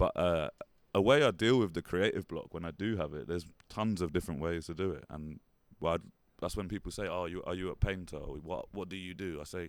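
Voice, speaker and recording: A man with a London accent and a very deep, low pitch talks at a fairly quick pace. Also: ordinary pitch variation. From London, England. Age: 30s. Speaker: painter and artist. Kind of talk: interview. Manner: fast.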